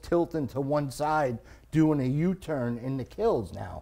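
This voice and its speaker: A man's fairly high voice in a dark, mellow tone with a New York accent, in a very clean recording with a silent background. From Long Island, New York. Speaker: comedian. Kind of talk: casual chat. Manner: halting.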